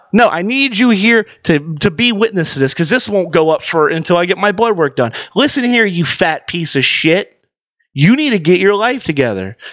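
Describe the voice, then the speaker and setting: The speaker is a man with a high pitch and lively intonation. His loudness stays very even. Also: moderate pace. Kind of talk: casual banter, sports betting podcast.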